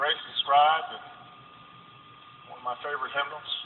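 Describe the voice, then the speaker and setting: Light background noise and audible room echo surround a man speaking with an American accent. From United States. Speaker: president giving a funeral eulogy. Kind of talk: eulogy sermon speech at a funeral. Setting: live funeral venue. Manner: impassioned, reflective. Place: hall.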